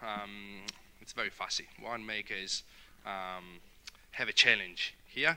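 Speaking at a very slow pace, a man with an Italian accent has a fairly low pitch. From Italy, near Verona. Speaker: winery guest experience manager. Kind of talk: casual interview. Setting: outdoor broadcast at a winery.

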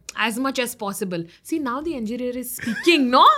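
At a moderate pace, a woman speaks in a raised, projected voice with very wide pitch swings. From North Karnataka, India. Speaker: radio jockey and stand-up comedian. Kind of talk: casual interview chat.

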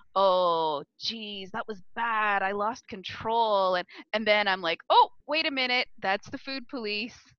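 Using a normal speaking voice, a woman talks at a fairly slow pace with hardly any pauses, her fairly high pitch showing ordinary variation. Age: 50s. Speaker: coaching client working on eating habits. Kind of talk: personal coaching conversation.

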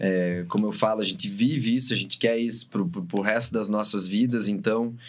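A man with an unremarkable speaking voice and a fairly low pitch talks at a moderate pace. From Brazil, Paraná (São José dos Pinhais). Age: 30s. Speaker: DJ and music producer. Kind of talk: casual chat.

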